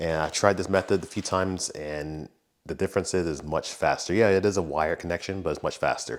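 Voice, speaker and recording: The man's voice is very deep and low, with fairly even intonation. He talks at a fairly quick pace in a very clean recording with a silent background. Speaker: car youtuber. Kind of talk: tutorial. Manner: speaking low.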